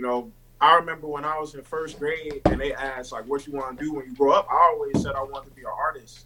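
Against noticeable background noise, a man with a fairly high pitch talks at a very fast pace. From Baltimore. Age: young. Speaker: rapper. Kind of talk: casual interview chat.

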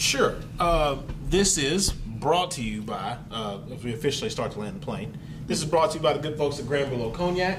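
Over noticeable background noise, a man's fairly high voice moves at a moderate pace with lively intonation. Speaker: podcast co-host. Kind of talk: casual chat. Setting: cigar lounge.

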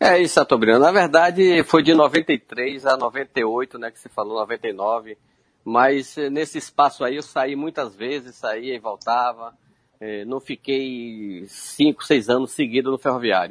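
A man speaking at a very slow pace with big swings in loudness, in a dry, close sound with no echo against a quiet background. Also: medium pitch for a man, ordinary pitch variation. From Feira de Santana, Bahia, Brazil. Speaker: retired footballer. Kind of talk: interview.

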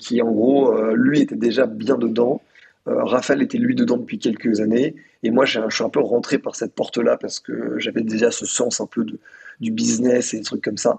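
This man speaks at a moderate pace. His sound is dry and close, with no echo. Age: 20s. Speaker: founder of an online media outlet. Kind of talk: casual interview conversation.

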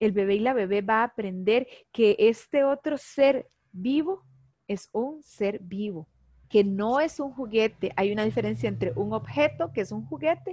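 Speaking fairly slowly in a Costa Rican accent, a woman uses a fairly high pitch and lively intonation. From Costa Rica, Heredia. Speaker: animal communicator. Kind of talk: interview.

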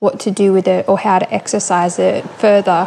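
A woman speaks with an Australian accent at a fairly slow pace. Her medium pitch holds fairly even intonation. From Australia, Coffs Harbour, New South Wales. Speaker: listener submitting a question, shop worker. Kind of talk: recorded voice question.

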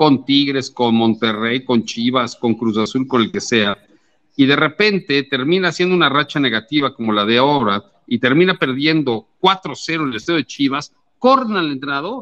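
Here is a man with an ordinary speaking voice, pitched fairly high. His intonation is lively and his pace moderate. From Mexico City. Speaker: sports journalist. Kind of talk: casual chat.

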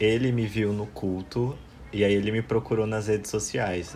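Fairly even intonation and moderate pace from a man with a fairly low pitch. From Ceará, Brazil (interior, near Juazeiro do Norte), moved to São Paulo at 10. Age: 20s. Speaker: podcast guest. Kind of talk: casual chat.

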